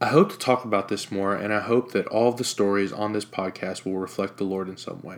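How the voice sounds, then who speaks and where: With an American accent and a plain, everyday voice, a man talks at a fairly quick pace in a fairly low pitch, his loudness swinging widely. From Jacksonville, Florida. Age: 20s. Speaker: podcast host. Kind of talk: personal testimony.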